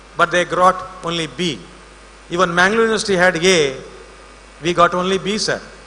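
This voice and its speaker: Over noticeable background noise, a man with a high pitch and fairly even intonation speaks at a fairly quick pace with long, frequent pauses. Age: 60s. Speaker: invited speaker at college event. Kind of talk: ceremonial speech.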